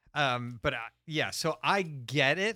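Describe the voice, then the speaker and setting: The man's voice has a bright, sharp tone. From New England. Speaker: podcast co-host and adult film producer. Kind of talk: casual chat.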